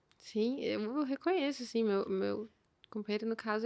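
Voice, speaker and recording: A plain, everyday voice from a woman at a fairly high pitch, with a moderate pace and ordinary pitch variation. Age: young. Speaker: chef and entrepreneur. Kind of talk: casual chat.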